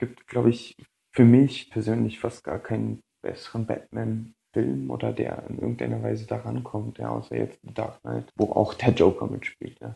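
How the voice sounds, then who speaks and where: Very deep and low, a man's voice has a dark, mellow tone, very wide pitch swings and big swings in loudness. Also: moderate pace. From Berlin, Germany. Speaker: listener contributor. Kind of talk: recorded audio submission.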